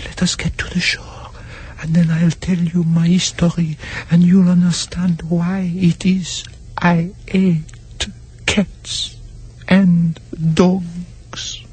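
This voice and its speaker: A shaky, put-on character voice at a middle pitch comes through over light background noise. It moves at a very slow pace with long, frequent pauses. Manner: trembling, passionate.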